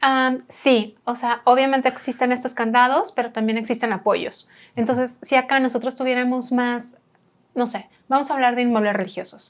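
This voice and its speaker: A woman with a high pitch and fairly even intonation is captured on a very clean recording with a silent background. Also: moderate pace. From Monterrey, northern Mexico. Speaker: architect and heritage restorer. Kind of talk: casual interview conversation.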